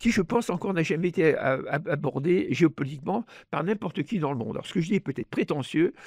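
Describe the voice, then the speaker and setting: A man's voice with very wide pitch swings, set against a quiet background. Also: dry, close sound with no echo. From France. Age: 80s+. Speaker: economist and author. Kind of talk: interview. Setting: studio. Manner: halting, many repetitions and hesitations; animated.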